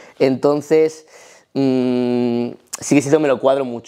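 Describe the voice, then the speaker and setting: A man speaks with a Spanish accent in a dark, mellow tone. His intonation stays fairly even. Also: quiet background. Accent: Spanish (Spain). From Spain. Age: 20s. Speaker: powerlifting athlete; interviewee. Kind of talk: casual interview. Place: home room.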